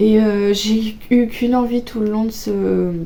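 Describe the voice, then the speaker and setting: A woman speaks at a fairly slow pace in a medium-pitched voice. Her intonation is monotone and flat. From Auvergne, France. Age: 20s. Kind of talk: casual book talk to camera.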